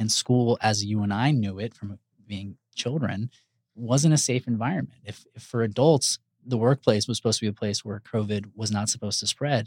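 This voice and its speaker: Recorded with a dry, close sound and no echo, a man speaks at a moderate pace and medium pitch with ordinary pitch variation. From Houston, Texas. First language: Spanish. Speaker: pediatrician. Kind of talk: casual interview chat. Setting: studio.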